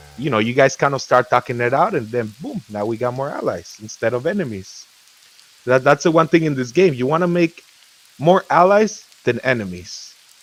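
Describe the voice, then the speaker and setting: With lively intonation and an animated tone, a man talks at medium pitch over noticeable background noise. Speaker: gamer, guild leader. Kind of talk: casual chat. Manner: fast.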